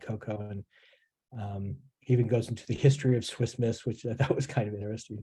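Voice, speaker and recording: A man with a General American accent talks very fast in a dark, mellow, somewhat breathy tone at a medium pitch. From California. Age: 60s. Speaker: author. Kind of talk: interview. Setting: video call. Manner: halting, many repeats.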